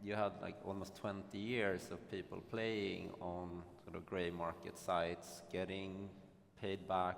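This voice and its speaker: A man with a Swedish accent and a very deep, low voice speaks fairly slowly in a monotone, flat intonation, with audible room echo. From Sweden. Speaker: panelist, gambling operator executive. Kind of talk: panel discussion. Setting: conference stage with audience.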